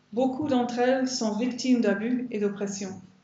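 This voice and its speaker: Through audible room echo and noticeable background noise, a woman speaks at a fairly slow pace and a fairly high pitch with fairly even intonation. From Ireland. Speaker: biblical counselor and women's conference speaker. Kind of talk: sermon.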